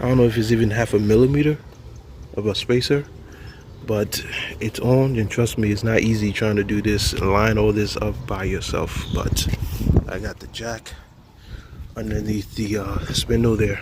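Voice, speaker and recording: The speaker holds a moderate pace and fairly even intonation, broken by long, frequent pauses. Noticeable background noise is present. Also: man, fairly low pitch for a man. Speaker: DIY car video creator. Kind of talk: tutorial. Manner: casual, halting with fillers.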